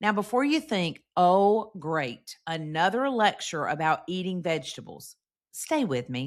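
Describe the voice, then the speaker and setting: On a very clean recording with a silent background, the voice moves through very wide pitch swings. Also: woman, medium pitch for a woman, fairly slow pace. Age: 50s. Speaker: podcast host. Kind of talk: scripted podcast monologue.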